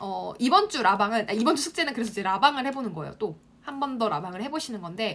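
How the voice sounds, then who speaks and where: Talking at a very fast pace, a woman uses a fairly high pitch with very wide pitch swings. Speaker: online marketing instructor. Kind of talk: live-stream class for students. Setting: Instagram live broadcast.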